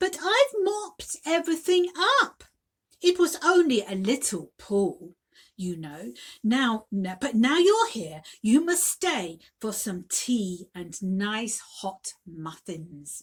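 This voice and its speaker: A woman's squeaky put-on character voice, fairly high in pitch, with very wide pitch swings and a very slow pace. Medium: read story.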